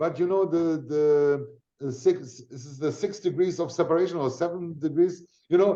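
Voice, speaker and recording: A man speaks at a moderate pace in a high voice with a dark, mellow tone, ordinary pitch variation and big swings in loudness. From Germany. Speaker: affiliate marketing networker. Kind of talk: casual interview chat. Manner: energetic.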